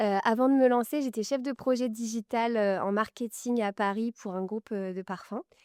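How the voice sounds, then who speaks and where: A woman's fairly high voice at a moderate pace, fairly even in intonation, recorded very cleanly against a silent background with a dry, close sound and no echo. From Normandy, France. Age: 20s. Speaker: fashion brand founder. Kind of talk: interview. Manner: hesitant, many fillers.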